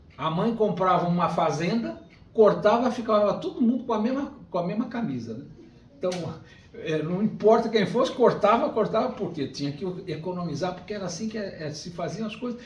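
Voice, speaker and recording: Amid noticeable background noise and audible room echo, a man with a high pitch talks at a moderate pace. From Brazil, Rio de Janeiro. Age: 60s. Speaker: spiritist lecturer. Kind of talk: lecture.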